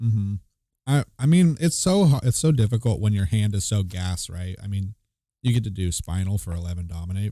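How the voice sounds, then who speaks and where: Quiet and fairly low-pitched, a man with a dark, mellow tone talks with lively intonation. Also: fairly quick pace. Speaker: card game commentator. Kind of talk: live commentary. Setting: livestream.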